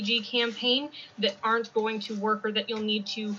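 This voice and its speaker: Noticeable background noise runs beneath speech delivered at a moderate rate. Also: woman. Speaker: freelance fiction editor. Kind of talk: conference presentation. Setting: convention presentation.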